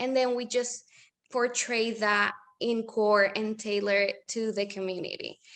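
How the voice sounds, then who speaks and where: A woman with a Spanish accent at a fairly slow pace, with ordinary pitch variation. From Puerto Rico. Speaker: small business owner. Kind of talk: interview. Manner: code-switching with hesitations.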